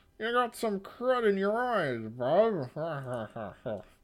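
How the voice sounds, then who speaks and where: A put-on character voice at a middle pitch, very slow in pace, with very wide pitch swings. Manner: ventriloquist voice.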